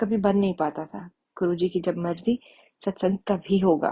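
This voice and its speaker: Against a quiet background, a woman's somewhat breathy, medium-pitched voice keeps a fairly even intonation. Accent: Punjabi. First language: Punjabi (speaking Hindi). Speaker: devotee sharing testimony. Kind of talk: testimony. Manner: halting, with fillers.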